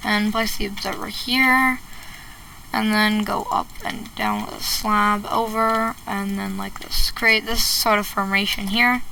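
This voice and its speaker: Over noticeable background noise and audible room echo, a woman speaks at a fairly slow pace in a fairly high pitch with monotone, flat intonation. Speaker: Minecraft redstone tutorial creator. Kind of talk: tutorial. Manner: casual, halting with fillers.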